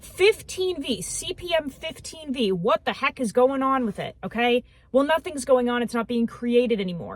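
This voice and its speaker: A loud woman speaks in an animated tone, her high voice making very wide pitch swings. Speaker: knife designer and reviewer. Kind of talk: casual vlog talk.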